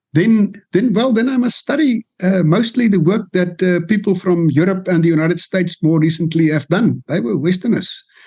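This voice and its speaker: At a moderate pace, a man with a high pitch and a dark, mellow tone speaks with very even loudness and ordinary pitch variation. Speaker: law professor. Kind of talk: political interview. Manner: hesitant, with many fillers.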